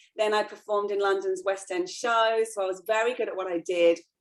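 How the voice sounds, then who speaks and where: A woman speaks with an English accent. Her pace is very fast. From England. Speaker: professional dancer. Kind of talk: casual interview chat.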